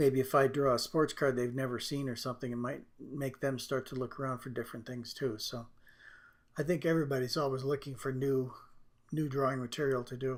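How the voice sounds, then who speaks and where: This man's voice sits at a medium pitch, flat and monotone, with a relaxed tone at a fairly quick pace. The recording is very clean, with a silent background. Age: 60s. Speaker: drawing artist and tutor. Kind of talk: tutorial. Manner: relaxed, hesitant with fillers.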